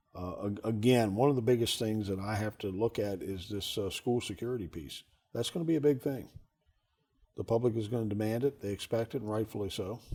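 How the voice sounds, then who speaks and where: With an American accent, a man speaks at a fairly quick pace in a dark, mellow tone, his pitch varying in an ordinary way. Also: medium pitch for a man. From Maryland, US. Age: 60s. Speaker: county sheriff. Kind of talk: interview. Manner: halting, repeats words.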